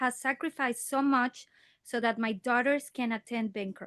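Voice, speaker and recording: Recorded dry and close with no echo against a quiet background, a woman with a Spanish accent speaks at a moderate pace in a high pitch with ordinary pitch variation. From Mexico. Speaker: parent speaking at public comment. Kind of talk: public comment at board meeting. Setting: school board meeting.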